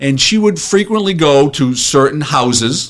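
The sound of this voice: Lively intonation marks a man speaking at a fairly slow pace and a fairly high pitch.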